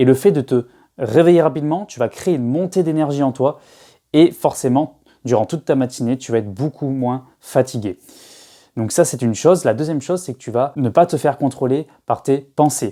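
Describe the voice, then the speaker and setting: A man's dark, mellow tone at a fairly high pitch and a moderate pace. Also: ordinary pitch variation, very clean recording, silent background. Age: 20s. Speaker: self-help youtuber. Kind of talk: casual vlog advice. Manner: hesitant, many fillers and repetitions.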